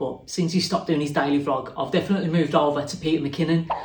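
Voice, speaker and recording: Someone talks at a very fast pace with fairly even intonation, amid noticeable background noise and audible room echo. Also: man. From Wolverhampton, West Midlands, England. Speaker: woodworker and YouTuber. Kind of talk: interview answers. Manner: casual, conversational.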